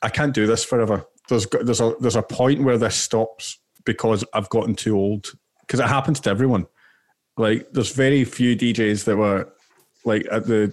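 In a Glaswegian accent, a man talks with fairly even intonation and very even loudness. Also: medium pitch for a man, moderate pace. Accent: Glaswegian Scottish. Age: 20s. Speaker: podcast co-host. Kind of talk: casual chat.

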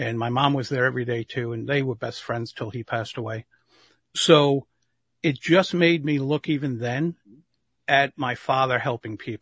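An unremarkable speaking voice moves at a moderate pace with ordinary pitch variation, recorded with a dry, close sound with no echo against a quiet background. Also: man, medium pitch for a man. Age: 60s. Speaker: public speaking coach. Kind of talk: interview.

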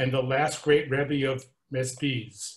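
A somewhat breathy voice comes through against a quiet background. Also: man. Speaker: class participant. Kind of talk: reading aloud.

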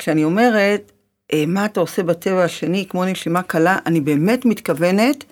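A woman at a fairly slow pace in a very clean recording with a silent background. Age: middle-aged. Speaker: life coach and podcast host. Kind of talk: interview.

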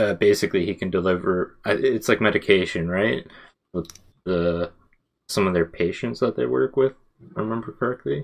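A man's very deep, low voice with vocal fry, lively intonation, a moderate pace and long, frequent pauses. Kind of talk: casual chat. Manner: casual, joking.

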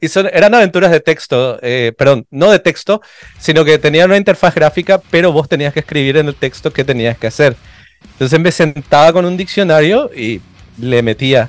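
In a dry, close sound with no echo, a man with an unremarkable speaking voice talks at a moderate pace in a fairly high pitch with lively intonation. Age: 40s. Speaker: illustrator and visual artist. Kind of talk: casual interview.

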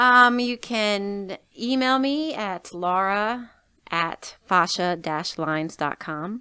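With an American accent, a woman talks at a very slow pace and medium pitch, using lively intonation and a bright, sharp tone, in a very clean recording with a silent background. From New Jersey, US. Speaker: movement and fascia therapy clinic owner. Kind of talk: casual interview.

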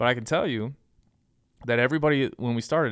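Over a silent background in a very clean recording, the speaker talks at a very fast pace with ordinary pitch variation. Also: man. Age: 30s. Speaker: hunting podcast host and nonprofit founder. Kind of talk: casual interview.

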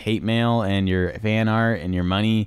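The recording is very clean, with a silent background, as a man speaks in a normal speaking voice. His pitch is medium, his intonation fairly even and his pace moderate. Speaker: podcast host. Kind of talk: reading aloud; casual chat.

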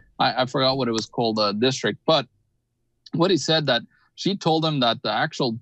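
Recorded with a dry, close sound and no echo, a man speaks at a medium pitch in a plain, everyday voice. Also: quiet background. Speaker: economic analyst. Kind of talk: live online panel discussion on finance news. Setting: video call.

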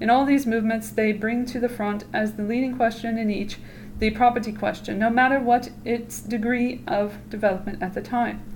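A woman speaks at a moderate pace in a fairly high, somewhat breathy voice with monotone, flat intonation. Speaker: podcast host reading aloud. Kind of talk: reading aloud of a text. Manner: casual, joking, swears a lot.

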